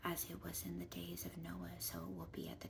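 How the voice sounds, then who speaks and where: Soft-spoken and whispering, a woman talks at a fairly quick pace against noticeable background noise. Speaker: ASMR Bible reading creator. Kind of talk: Bible reading, scripture narration. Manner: whispered, soft.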